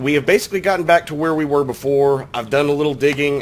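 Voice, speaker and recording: There is noticeable background noise behind this man's voice. His pitch is fairly high and varies in an ordinary way, and he speaks at a fairly quick pace. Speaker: gaming commentator. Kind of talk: casual gameplay commentary.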